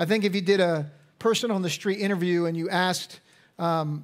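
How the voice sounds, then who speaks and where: A man's high-pitched voice with fairly even intonation against a quiet background. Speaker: pastor. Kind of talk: sermon. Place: church. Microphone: headset.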